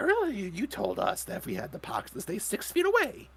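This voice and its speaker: At a fairly quick pace, a man talks in a put-on character voice. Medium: actual play.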